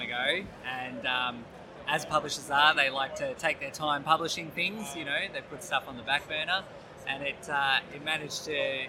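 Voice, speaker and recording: Noticeable background noise behind a man's fairly high voice at a moderate pace. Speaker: game designer and illustrator. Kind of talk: interview.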